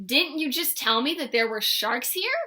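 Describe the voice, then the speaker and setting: A woman's put-on character voice, high-pitched with lively intonation. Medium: read story. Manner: friendly.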